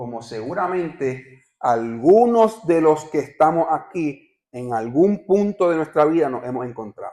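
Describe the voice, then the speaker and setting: A man in a Puerto Rican accent, fairly high-pitched with a dark, mellow tone, lively intonation, fairly slow pace and big swings in loudness. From Puerto Rico. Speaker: visiting pastor. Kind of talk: sermon.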